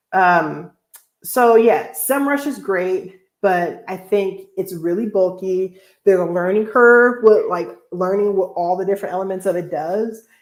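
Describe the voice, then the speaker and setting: A woman speaks at a fairly slow pace in a medium pitch, with ordinary pitch variation. It is an unremarkable speaking voice. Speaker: blogger. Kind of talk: live Q&A stream. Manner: casual, filler-heavy.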